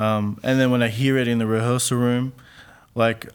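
With an Australian accent, a man speaks at a medium pitch and a moderate pace with fairly even intonation, in a very clean recording over a silent background. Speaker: playwright. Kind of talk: interview. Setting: studio.

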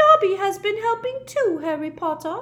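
A squeaky, put-on character voice at an extremely high pitch comes at a moderate pace. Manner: resentful, eager.

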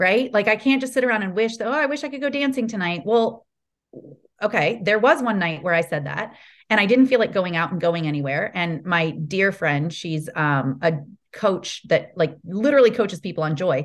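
Her pitch swings very widely around a medium level. The woman keeps a moderate pace against a quiet background. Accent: Midwestern. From Ohio, US Midwest. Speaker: sales coach. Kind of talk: podcast interview.

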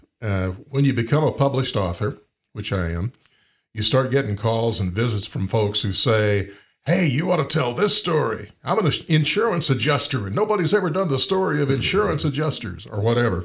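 A somewhat breathy man with an Alabama accent talks at a fairly quick pace and medium pitch with very wide pitch swings, in a very clean recording with a silent background. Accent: Southern US (Alabama). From US South. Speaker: podcast host and author. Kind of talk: casual interview.

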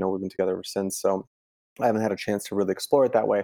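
Dry and close with no echo, a man's fairly low, dark, mellow voice comes through with an American accent. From Italy, then Chicago from age 10. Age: 30s. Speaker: DJ and music producer. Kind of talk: casual chat.

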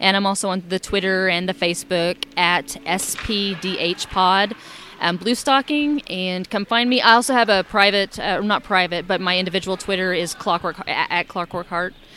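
A woman speaks at a moderate pace at medium pitch, with ordinary pitch variation and hardly any pauses. Noticeable background noise sits behind her. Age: 40s. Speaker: librarian and steampunk podcaster. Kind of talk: casual interview chat. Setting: live at a festival.

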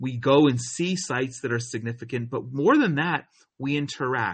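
At a moderate pace, a man talks in a somewhat breathy voice at a medium pitch. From US Northeast, New Jersey. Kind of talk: interview.

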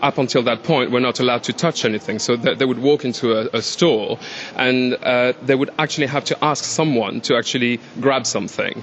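Someone with a French accent talks at a fairly quick pace over noticeable background noise. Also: man. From France. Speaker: store employee. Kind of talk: casual interview chat. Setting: department store.

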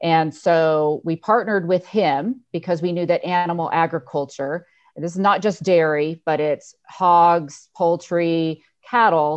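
A normal speaking voice with an American accent and fairly even intonation. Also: woman, fairly low pitch for a woman, fairly slow pace. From Northern California, Lake County. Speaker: dairy company executive. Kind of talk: interview. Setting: video call.

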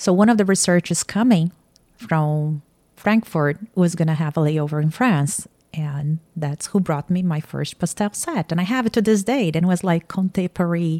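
A woman with a Portuguese accent speaks at a moderate pace in a fairly low, dark, mellow tone with ordinary pitch variation, the sound dry and close with no echo. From Brazil, Campinas (São Paulo state). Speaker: artist and painting instructor. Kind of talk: casual interview. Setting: artist's studio.

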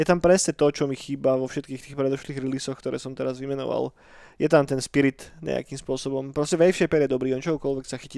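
A man at a medium pitch, very fast pace and fairly even intonation, on a very clean recording with a silent background. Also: dry, close sound with no echo. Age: 30s. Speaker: podcast co-host. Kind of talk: casual chat. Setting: studio.

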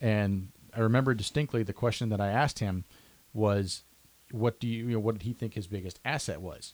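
In an ordinary speaking voice, a man talks at a fairly quick pace with a fairly low pitch and ordinary pitch variation. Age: 30s. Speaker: podcast host. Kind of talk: interview.

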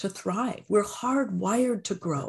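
With a Canadian accent, the speaker talks fairly slowly in a somewhat breathy voice with very wide pitch swings. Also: woman. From Canada. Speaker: empowerment coach. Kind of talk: interview.

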